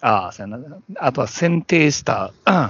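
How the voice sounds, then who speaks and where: A man's voice with a Kansai accent. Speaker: podcast co-host. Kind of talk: casual chat.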